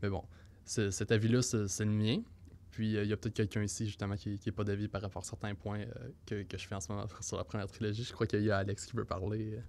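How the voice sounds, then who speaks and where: A man talks at a very fast pace in a fairly low pitch, monotone and flat. The recording is very clean, with a silent background. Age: 20s. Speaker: podcast co-host. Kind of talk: casual discussion. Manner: halting, many hesitations.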